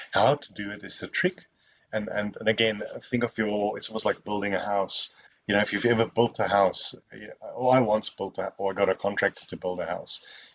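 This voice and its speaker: Someone talks at a fairly quick pace with a South African accent and big swings in loudness. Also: man. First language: Afrikaans. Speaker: software testing expert. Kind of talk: Q&A at online webinar.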